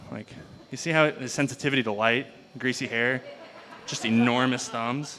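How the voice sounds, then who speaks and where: At a moderate pace and medium pitch, a man talks with fairly even intonation and long, frequent pauses over noticeable background noise. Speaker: stand-up comedian. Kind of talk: stand-up comedy set. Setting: live venue with audience. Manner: low-key, understated.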